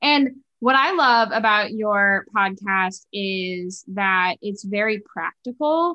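Speaking very slowly, a woman with an American accent uses a fairly high pitch. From western New York (Buffalo). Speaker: podcast host. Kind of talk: interview conversation.

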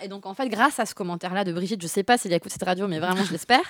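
The sound is dry and close with no echo as a woman talks at a very fast pace. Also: very clean recording, silent background. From France, grew up in Bordeaux. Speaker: street artist and poet. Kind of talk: casual interview. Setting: radio studio.

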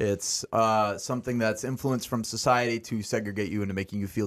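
A man's fairly low voice at a very fast pace, with fairly even intonation, on a very clean recording with a silent background. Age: 20s. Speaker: blind musician. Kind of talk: casual chat. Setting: studio.

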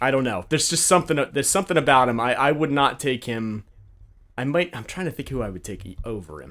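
A normal speaking voice from a man at medium pitch, lively intonation, big swings in loudness, fairly quick pace, on a very clean recording with a silent background. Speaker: fantasy football league commissioner. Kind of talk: casual chat.

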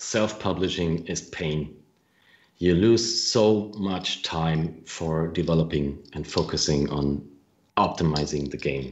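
A man with a German accent, a very deep, low pitch, ordinary pitch variation and a very slow pace. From Germany, Franconia (northern Bavaria). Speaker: game developer. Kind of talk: interview. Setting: live video stream.

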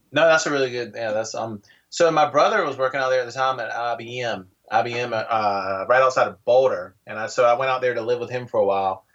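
A plain, everyday voice with an American accent, fairly quick pace and ordinary pitch variation. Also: man, medium pitch for a man. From North Carolina. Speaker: tiny house website owner, entrepreneur. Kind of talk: casual interview chat.

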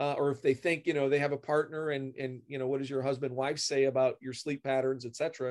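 A man with an unremarkable speaking voice, fairly high pitch and moderate pace, over a quiet background. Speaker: optometrist specializing in glaucoma. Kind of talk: interview.

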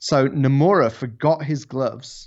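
This man has a medium pitch and an English accent. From England. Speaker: drifting YouTuber. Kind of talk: casual chat. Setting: video call.

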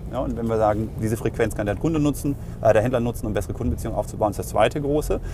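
Noticeable background noise accompanies a man speaking very fast at a medium pitch. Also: ordinary pitch variation. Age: 40s. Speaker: payments company executive. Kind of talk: interview.

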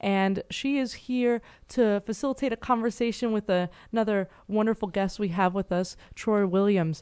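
Her voice is medium in pitch, with a dark, mellow tone and ordinary pitch variation. The woman is heard over a quiet background. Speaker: radio host. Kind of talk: radio hosting. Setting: studio.

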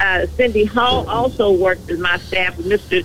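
A woman with an American accent speaks at a fairly slow pace in an unremarkable speaking voice. Her pitch is medium, with ordinary variation. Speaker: city council member. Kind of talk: call-in radio talk. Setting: phone call.

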